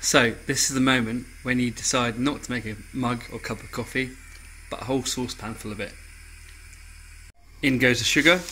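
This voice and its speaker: With an English accent, a man talks over light background noise, leaving long, frequent pauses as his loudness swings widely. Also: medium pitch for a man, moderate pace. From England. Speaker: home cook. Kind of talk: casual cooking tutorial to camera. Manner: upbeat, jokey. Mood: relaxed, cheerful. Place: kitchen. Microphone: camera far.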